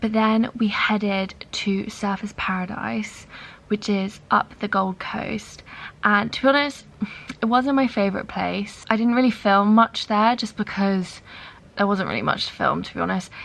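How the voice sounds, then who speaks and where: Over noticeable background noise, a woman with a medium pitch talks at a moderate pace using fairly even intonation. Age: 20s. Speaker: travel vlogger. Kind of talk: vlog to camera. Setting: hostel room. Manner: casual, filler-heavy.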